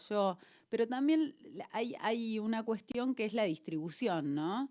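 The speaker has a plain, everyday voice. The intonation is lively and the pace moderate. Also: woman, very clean recording, silent background. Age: 40s. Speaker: radio host. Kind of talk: radio interview, casual chat. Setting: radio studio.

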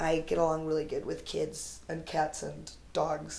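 Audible room echo carries the voice of a woman with an American accent. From United States. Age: 30s. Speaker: comedian. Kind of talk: casual chat.

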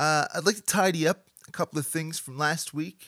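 On a very clean recording with a silent background and a dry, close sound with no echo, a man speaks at a moderate pace in a fairly high pitch with a bright, sharp tone. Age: 30s. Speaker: podcast host. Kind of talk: casual interview. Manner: comedic monologue delivery.

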